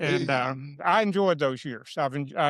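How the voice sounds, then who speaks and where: With an Arkansas accent, this man speaks at a fairly high pitch. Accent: Arkansas Southern US. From Arkansas, Franklin County area. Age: 70s. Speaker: political candidate, retired educator. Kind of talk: casual interview chat. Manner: halting.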